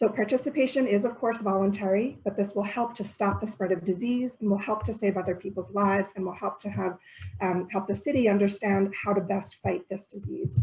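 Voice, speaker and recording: A woman talks at medium pitch and a fairly quick pace. Her voice is somewhat breathy, with fairly even intonation. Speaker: public health presenter. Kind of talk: informational presentation. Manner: fast.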